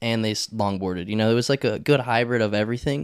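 Here is a man with an American accent and a medium pitch. The sound is dry and close with no echo, the recording very clean over a silent background. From US South, Charlotte, North Carolina. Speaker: downhill skateboarder. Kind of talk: casual chat. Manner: animated.

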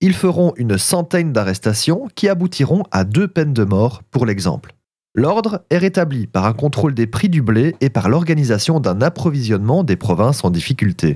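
The voice has a dark, mellow tone, somewhat breathy, with very wide pitch swings and very even loudness. It moves at a moderate pace in a dry, close sound with no echo. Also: man, medium pitch for a man. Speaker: food history podcaster. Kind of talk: scripted narration.

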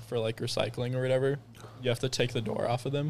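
Somewhat breathy, a man speaks at a medium pitch. His intonation is monotone and flat. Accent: American. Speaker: Bible school admissions worker. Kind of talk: casual chat.

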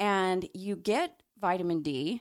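Recorded very cleanly against a silent background, an unremarkable speaking voice shows ordinary pitch variation. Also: woman. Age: 40s. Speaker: naturopathic doctor and podcast co-host. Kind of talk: casual chat.

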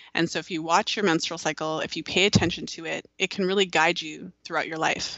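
Fairly low in pitch, a woman speaks in a plain, everyday voice with fairly even intonation. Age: 30s. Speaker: fertility awareness educator. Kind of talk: interview.

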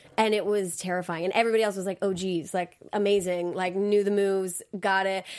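In an American accent, a woman speaks at a fairly quick pace with hardly any pauses. Her medium-pitched intonation is monotone and flat. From US South, Georgia. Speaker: dancer and Broadway performer. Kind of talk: casual interview chat. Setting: recorded interview, pre-taped. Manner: fast talker.

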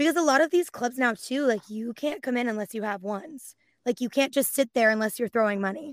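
A woman speaks fairly quickly in a Californian accent, her pitch high and her intonation lively. The recording is very clean with a silent background, and the sound is dry and close with no echo. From San Francisco Bay Area. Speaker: voice actress and dancer. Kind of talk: casual chat.

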